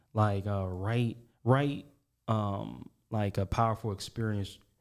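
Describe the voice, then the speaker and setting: With a dark, mellow tone and fairly low pitch, a man speaks in fairly even intonation on a very clean recording with a silent background. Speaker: guest sharing life story. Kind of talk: casual interview. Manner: halting.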